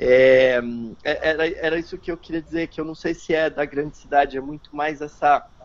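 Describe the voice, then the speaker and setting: A man's fairly high voice, monotone and flat, at a moderate pace. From São Paulo, Santo Amaro. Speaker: environmental NGO member. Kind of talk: online panel discussion. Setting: video call. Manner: halting, many repetitions.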